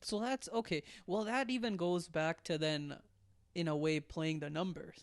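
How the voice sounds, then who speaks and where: A man's high-pitched voice with a non-native accent and lively intonation. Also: moderate pace, very even loudness. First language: not English. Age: 20s. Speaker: comedian. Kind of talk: casual chat.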